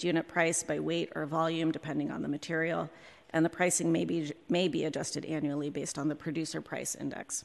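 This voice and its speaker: A woman talks at a very fast pace with vocal fry. Her pitch is very deep and low. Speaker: city contracting office director. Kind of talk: formal presentation to committee. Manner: hesitant, many fillers.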